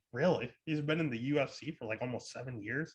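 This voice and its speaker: A loud man's voice with a bright, sharp tone and ordinary pitch variation, on a very clean recording with a silent background. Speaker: MMA betting podcast host. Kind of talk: casual podcast fight picks.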